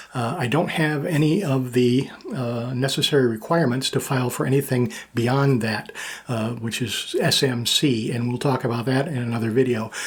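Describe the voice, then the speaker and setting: A man talks with ordinary pitch variation, and noticeable background noise is present throughout. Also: medium pitch for a man, moderate pace. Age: 60s. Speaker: military veteran and YouTuber. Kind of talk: personal vlog monologue. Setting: home studio. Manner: casual with frequent fillers.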